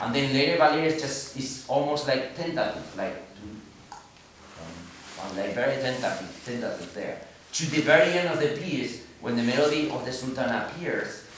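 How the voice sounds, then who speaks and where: Someone speaks in a Spanish accent at a moderate pace with lively intonation. Noticeable background noise runs underneath. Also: man, fairly high pitch for a man. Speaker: orchestra conductor. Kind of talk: pre-concert talk to audience. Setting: live audience in concert hall.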